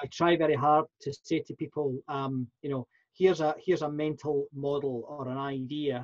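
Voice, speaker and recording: Somewhat breathy and fairly high in pitch, a man with a Scottish accent speaks in monotone, flat intonation, the sound dry and close with no echo. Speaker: professional speaker and workplace consultant. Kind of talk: interview. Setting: podcast interview. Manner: halting, many fillers and repeats.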